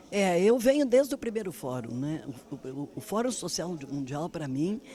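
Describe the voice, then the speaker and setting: A woman speaks at a fairly low pitch, with very wide pitch swings and big shifts in loudness. Noticeable background noise runs through the clip. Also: moderate pace. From southern Brazil, Rio Grande do Sul. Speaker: former politician and activist. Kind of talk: interview.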